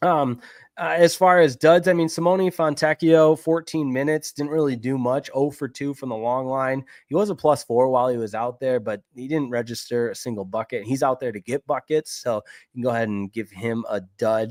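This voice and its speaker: Speaking at a fairly quick pace with a Midwestern accent, the voice shows ordinary pitch variation. The recording is very clean with a silent background and a dry, close sound without echo. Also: man, medium pitch for a man. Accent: Midwest. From Michigan. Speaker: sports podcast host. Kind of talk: sports podcast recap. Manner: casual, conversational.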